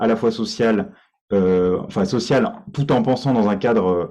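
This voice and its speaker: A man at a fairly slow pace and medium pitch, set against a quiet background. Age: 20s. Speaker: party candidate, IT worker. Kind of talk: candidate self-presentation in online meeting. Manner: halting, many fillers and repetitions.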